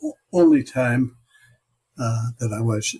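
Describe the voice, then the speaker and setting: With an American accent, a man talks fairly slowly in a medium-pitched, somewhat breathy voice that has a dark, mellow tone. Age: 90s. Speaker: war veteran. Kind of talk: interview. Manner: halting.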